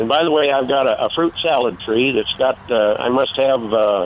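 Using a normal speaking voice, a man with an American accent talks at a moderate pace and medium pitch with ordinary pitch variation. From Wisconsin. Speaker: caller. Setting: phone call.

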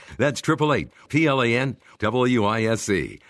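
Over a quiet background, a man speaks at medium pitch with lively intonation. His voice carries vocal fry. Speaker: show announcer. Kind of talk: scripted narration.

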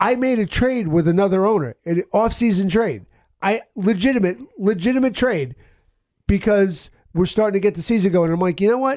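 A man with an American accent speaks in a high voice. His intonation is lively. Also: moderate pace. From New Jersey. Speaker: sports podcast co-host. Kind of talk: casual chat. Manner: animated.

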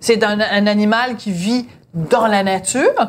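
A woman's fairly high voice shows ordinary pitch variation, in a normal speaking voice. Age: 50s. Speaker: podcast host. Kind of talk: casual chat. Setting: at home dinner.

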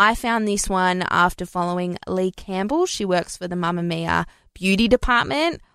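A woman with an Australian accent at a fairly slow pace, in a very clean recording with a silent background and a dry, close sound with no echo. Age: 30s. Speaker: beauty podcast host. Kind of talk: solo product review monologue.

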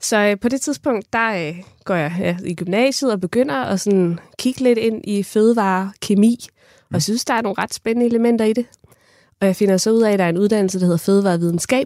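At a fairly quick pace, a woman speaks in an ordinary speaking voice of medium pitch with ordinary pitch variation, the very clean recording dry and close with no echo and a silent background. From Funen, Denmark (Kerteminde). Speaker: ice cream maker and food scientist. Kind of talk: interview. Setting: studio.

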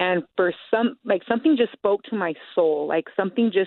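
With an American accent, a woman talks at medium pitch and a moderate pace, with ordinary pitch variation. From Utah, Salt Lake City. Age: 30s. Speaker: former offender in rehabilitation program. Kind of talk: interview testimony. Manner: hesitant, many fillers.

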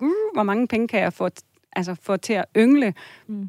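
A woman with a normal speaking voice and a fairly high pitch at a moderate pace, in a very clean recording with a silent background and a dry, close sound with no echo. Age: 40s. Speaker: listener seeking financial advice, family counselor. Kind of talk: advice radio conversation. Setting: radio studio.

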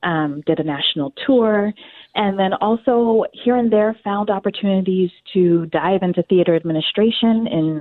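Speaking at a moderate pace with an American accent, the voice shows ordinary pitch variation. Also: woman, medium pitch for a woman. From US South (North Carolina). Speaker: theater casting director. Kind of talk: interview. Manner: animated.

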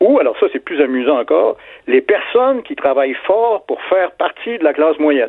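This man talks at a moderate pace with lively intonation in a normal speaking voice. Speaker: literature professor. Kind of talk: radio interview.

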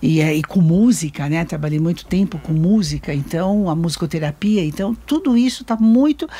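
Somewhat breathy and dark and mellow in tone, a woman with a fairly low pitch talks at a moderate pace with lively intonation and hardly any pauses. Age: old. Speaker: grandmother. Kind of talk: casual chat.

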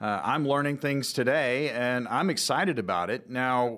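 Speaking at a medium pitch, a man uses ordinary pitch variation. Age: 50s. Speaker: radio co-host, consumer advocate. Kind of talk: radio talk show; sponsored pitch. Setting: radio studio. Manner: animated.

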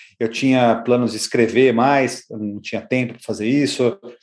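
On a very clean recording with a silent background, a man with a medium pitch talks fairly quickly in a flat, monotone way. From Brazil, São Paulo. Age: 50s. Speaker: marketing consultant. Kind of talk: interview. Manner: halting.

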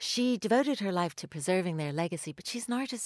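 A woman with an unremarkable speaking voice at a medium pitch talks at a fairly quick pace with ordinary pitch variation, on a very clean recording with a silent background and a dry, close sound with no echo. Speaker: magazine contributor, panelist. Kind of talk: casual chat. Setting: studio.

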